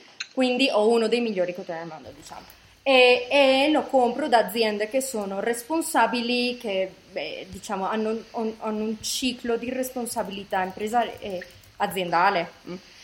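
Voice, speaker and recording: Over noticeable background noise, a woman with a fairly high pitch talks at a moderate pace, with ordinary pitch variation and big swings in loudness. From Italy, moved to Colombia around age seven. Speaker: designer and fashion brand founder. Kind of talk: interview. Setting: remote call.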